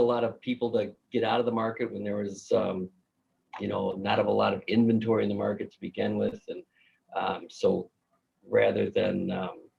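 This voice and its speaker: A man with a Minnesotan accent speaks at a moderate pace. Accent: Minnesota. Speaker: mortgage banker. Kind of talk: casual chat.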